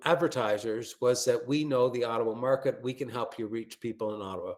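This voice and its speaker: A man with a Canadian accent talks at a moderate pace in a plain, everyday voice of medium pitch. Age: 60s. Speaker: branding expert. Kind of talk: webinar presentation. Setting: video call webinar.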